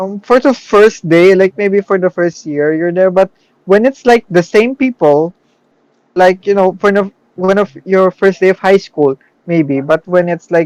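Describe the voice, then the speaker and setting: The recording sounds dry and close with no echo, and the pitch varies in an ordinary way. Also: man, high pitch for a man. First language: not English. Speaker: podcast co-host. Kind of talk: casual chat. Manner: halting.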